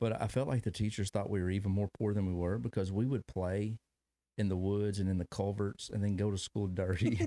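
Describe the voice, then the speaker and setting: In a very clean recording with a silent background and a dry, close sound with no echo, a man with a Kentucky accent speaks at a fairly low pitch in a dark, mellow tone, with very even loudness and fairly even intonation. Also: fairly quick pace. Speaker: podcast host. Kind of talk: casual interview chat.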